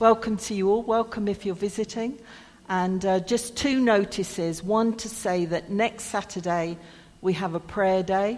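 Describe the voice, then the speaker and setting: A woman's medium-pitched voice in an English accent, fairly even in intonation, at a fairly slow pace. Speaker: church service leader. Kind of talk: church service, notices and prayer. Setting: church.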